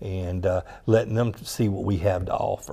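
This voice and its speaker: At a moderate pace, a man with a Southern US accent talks in a fairly low pitch, his tone dark and mellow and his intonation fairly even. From US South, South Georgia; Georgia. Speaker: director of continuing education. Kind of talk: interview. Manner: halting, many fillers. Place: studio. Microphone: lapel.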